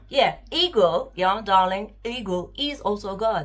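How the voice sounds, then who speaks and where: A woman with lively intonation. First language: not English. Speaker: spiritual vlogger. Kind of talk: casual monologue vlog. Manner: unscripted, hesitant with fillers.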